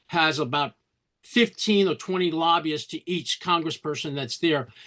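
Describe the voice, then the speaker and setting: In a New York accent, a man speaks at a fairly quick pace and a fairly high pitch. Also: quiet background. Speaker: meeting participant. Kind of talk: audience question. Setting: video call.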